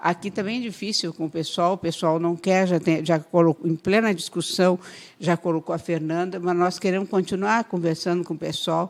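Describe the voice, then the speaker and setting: A woman with a plain, everyday voice speaks at a moderate pace, with fairly low pitch and fairly even intonation. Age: 60s. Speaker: politician. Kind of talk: radio interview.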